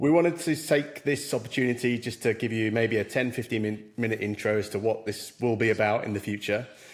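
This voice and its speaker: Speaking at a fairly quick pace, a man has a plain, everyday voice. His pitch is medium, with ordinary pitch variation. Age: middle-aged. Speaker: podcast co-host. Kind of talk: casual podcast chat.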